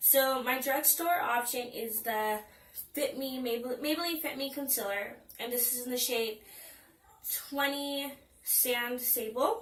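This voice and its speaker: A woman's high-pitched voice with ordinary pitch variation, at a fairly slow pace with long, frequent pauses, in audible room echo. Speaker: beauty vlogger. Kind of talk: product review. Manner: animated.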